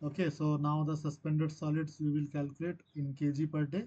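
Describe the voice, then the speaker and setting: Fairly high in pitch yet dark and mellow in tone, a man's somewhat breathy voice moves at a moderate pace in a monotone, flat intonation. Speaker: teaching assistant. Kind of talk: tutorial.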